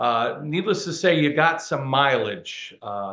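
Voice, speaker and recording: A man with an American accent speaks with lively intonation and vocal fry. The background is quiet. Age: 60s. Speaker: museum director and interviewer. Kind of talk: interview. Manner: halting, many fillers.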